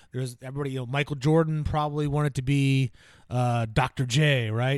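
Against a silent background in a very clean recording, a man with an American accent speaks very fast at a medium pitch with ordinary pitch variation. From New Jersey. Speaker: self-improvement podcast co-host. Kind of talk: casual chat. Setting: studio.

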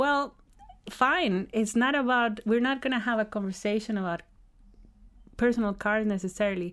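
Long, frequent pauses break up a woman's fairly high voice with ordinary pitch variation. Her pace is moderate, in a very clean recording with a silent background. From Costa Rica. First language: Spanish. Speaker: electrification advocate. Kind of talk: interview.

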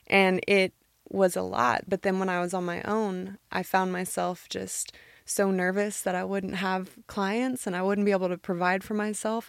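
A woman's unremarkable speaking voice, medium in pitch, with an American accent, fairly even intonation and a moderate pace, on a very clean recording with a silent background. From Nashville, Tennessee, US South. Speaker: personal trainer. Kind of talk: casual interview chat.

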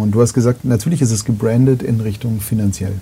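With noticeable noise behind him, a man talks at a very fast pace, his pitch fairly low and his intonation fairly even. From Bavaria, near Munich. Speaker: podcast host. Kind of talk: casual interview. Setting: live-streamed talk, studio. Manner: loud.

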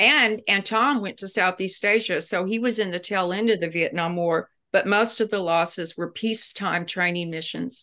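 Bright and sharp in tone, a woman at medium pitch talks at a moderate pace with ordinary pitch variation and hardly any pauses. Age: 60s. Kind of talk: interview. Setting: at home, remote recording. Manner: animated.

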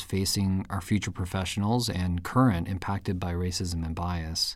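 On a very clean recording with total silence behind him, a man talks at a moderate pace. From US (born in Japan, moved at five). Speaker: podcast host and physician. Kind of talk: interview. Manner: halting.

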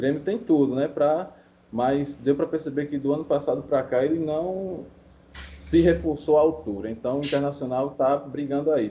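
A man has an unremarkable speaking voice, fairly high in pitch, with ordinary pitch variation. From Paraíba, Brazil. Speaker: podcast listener, sports bettor. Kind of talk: casual chat.

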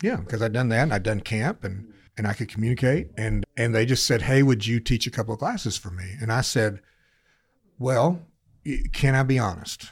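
A man with an American accent, somewhat breathy, medium pitch and ordinary pitch variation at a moderate pace, in a very clean recording with a silent background. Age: 60s. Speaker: senior pastor. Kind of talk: casual interview chat, personal storytelling.

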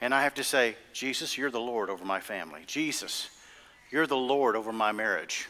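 Bright and sharp in tone, a man speaks at a medium pitch and a fairly quick pace. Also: ordinary pitch variation. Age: 50s. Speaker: pastor. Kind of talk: sermon. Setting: church with congregation. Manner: animated, emphatic preacher in full flow, repeating key lines for emphasis; call-and-response, urging the congregation to say amen.

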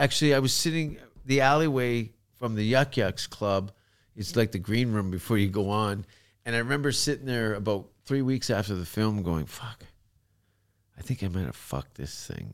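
A man with a Canadian accent speaks at a moderate pace in an ordinary speaking voice, with fairly low pitch, lively intonation and big swings in loudness, in a very clean recording with a silent background. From Canada. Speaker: comedian. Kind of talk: casual chat.

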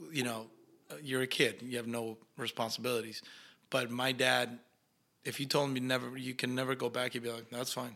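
With a Spanish accent, a man speaks at medium pitch in a bright, sharp tone. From Argentina. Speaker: actor. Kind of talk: casual interview chat.

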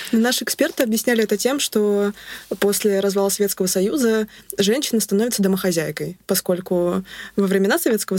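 A woman speaks very fast with ordinary pitch variation. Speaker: literature student researcher. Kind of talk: interview.

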